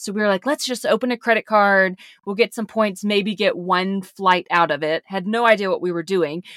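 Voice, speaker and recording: A woman speaks at a moderate pace with hardly any pauses, at medium pitch with ordinary variation, in a dry, close sound with no echo on a very clean recording with a silent background. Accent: Southern US. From US South. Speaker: podcast co-host. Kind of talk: casual chat.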